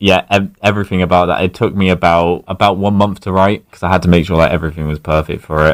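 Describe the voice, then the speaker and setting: A man speaks with a southern English accent. His pitch is very deep and low. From Berkshire, southern England. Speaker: masked alternative musician. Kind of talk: radio interview. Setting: radio studio.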